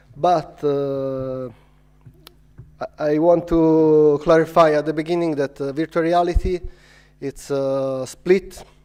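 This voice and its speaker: Very slow pace and long, frequent pauses from a man with a non-native accent, a fairly high pitch, and fairly even intonation. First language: not English. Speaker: filmmaker and VR producer. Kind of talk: conference talk. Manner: halting, many fillers.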